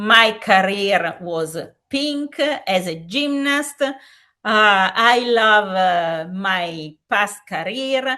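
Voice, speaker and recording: Speaking very slowly with an Italian accent, a woman has a fairly high pitch and a bright, sharp tone. Her intonation is lively. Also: quiet background. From Italy. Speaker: safeguarding commission president, gymnastics expert. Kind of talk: webinar lecture. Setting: online webinar. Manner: halting, frequent fillers.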